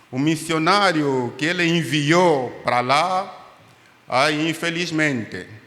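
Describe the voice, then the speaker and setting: A man with an Angolan accent speaks very slowly at a fairly high pitch. The room echo is audible. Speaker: pastor and doctor, missionary. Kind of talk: testimony in church. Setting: church service.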